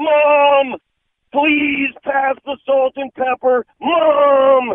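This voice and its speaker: A put-on character voice speaks at a very slow pace in a high pitch. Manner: mocking, exaggerated.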